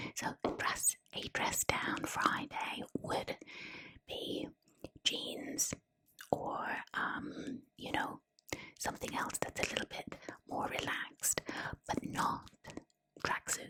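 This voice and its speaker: A woman whispers in a gentle tone at a very slow pace. She leaves long, frequent pauses. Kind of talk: ASMR whispered book reading. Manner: whispered, gentle, soft-spoken.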